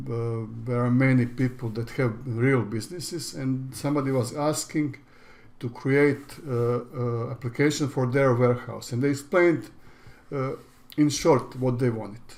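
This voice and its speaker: Speaking with a Croatian accent, a man keeps a medium pitch, a moderate pace and fairly even intonation. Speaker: online business educator. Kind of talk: tutorial. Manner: halting.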